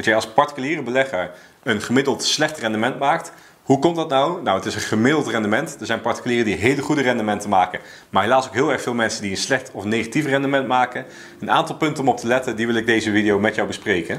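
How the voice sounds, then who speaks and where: A man rattles along at a very fast pace, his pitch varying in an ordinary way. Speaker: personal finance vlogger. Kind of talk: explainer talking to camera. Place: home room.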